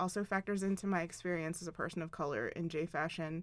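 In a very clean recording with a silent background, a woman with an unremarkable speaking voice talks at a fairly quick pace, with a fairly low pitch and fairly even intonation. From Philadelphia, US East Coast. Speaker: fashion designer, clothing brand owner. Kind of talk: interview. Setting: studio.

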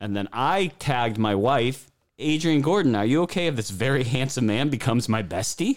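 A man speaks with big swings in pitch on a very clean recording with a silent background.

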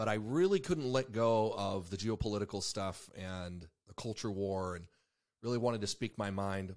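A man talks in a normal speaking voice at a moderate pace, fairly low in pitch with ordinary pitch variation. The recording is very clean, the background silent. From Mexico and Ecuador (American missionary family). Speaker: podcast host, army veteran and former deputy. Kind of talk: casual political talk.

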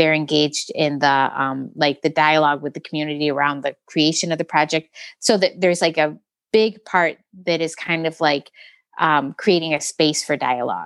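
A woman with an American accent speaks at a moderate pace in a very deep, low pitch. Her intonation is fairly even, and the sound is dry and close with no echo. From Metro Detroit, Michigan. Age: 40s. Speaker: muralist and children's book artist. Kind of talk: interview conversation.

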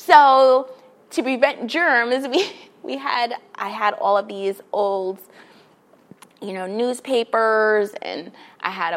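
A woman speaks in an American accent with a normal speaking voice. Her pitch is fairly high, with ordinary pitch variation. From New York City, Queens. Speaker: children's librarian. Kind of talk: casual interview.

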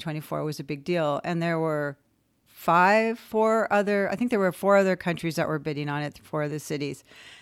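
A fairly low woman's voice with a Californian accent, moderate in pace, with ordinary pitch variation, in a very clean recording with a silent background. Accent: Californian American. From Southern California, West Covina. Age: 60s. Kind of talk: interview.

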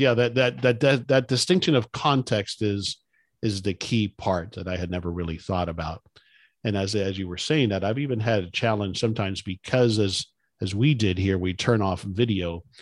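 A man's voice at a moderate pace, its pitch varying in an ordinary way, on a very clean recording over a silent background. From South Florida, son of Cuban immigrants. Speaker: podcast host. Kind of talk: scripted introduction; interview conversation.

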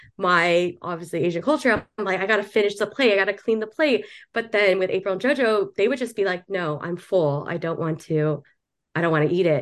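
Against a quiet background, an ordinary speaking voice with an American accent moves at a fairly quick pace with lively intonation. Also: woman, medium pitch for a woman. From Southern California. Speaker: podcast co-host. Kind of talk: casual interview chat.

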